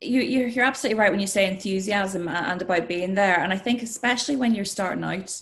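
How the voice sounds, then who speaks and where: This woman has a Northern Irish accent and talks at a very fast pace with hardly any pauses, her medium pitch showing ordinary variation. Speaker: sports and news presenter. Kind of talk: interview.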